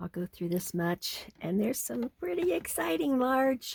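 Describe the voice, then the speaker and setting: The voice is somewhat breathy, with lively intonation and a fairly slow pace, in a dry, close sound with no echo. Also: woman. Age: 70s. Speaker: off-grid homesteading vlogger. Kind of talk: casual vlog narration. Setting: indoors in converted bus.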